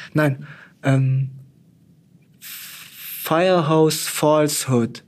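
A man speaks with monotone, flat intonation. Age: 20s. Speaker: news editor and fact-checker. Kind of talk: interview.

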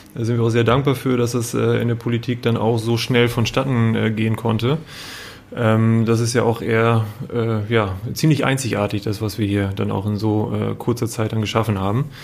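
Over noticeable background noise, a man talks at a moderate pace with medium pitch and monotone, flat intonation. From northern Germany, Emsland (Meppen). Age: 30s. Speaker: business association manager. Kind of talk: interview. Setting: office.

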